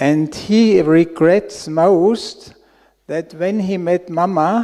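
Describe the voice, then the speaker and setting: A man speaks with a German accent at a very slow pace. His voice is high in pitch with a dark, mellow tone. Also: very clean recording, silent background. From Austria. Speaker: audience member asking a question. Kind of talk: question at a spiritual Q&A.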